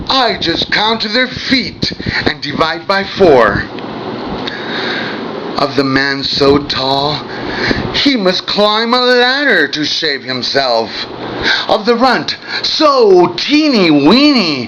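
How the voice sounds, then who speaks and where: Speaking at a very slow pace with long, frequent pauses, a man with a high pitch swings his voice very widely amid noticeable background noise. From Mexico. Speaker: poet. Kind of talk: poetry reading.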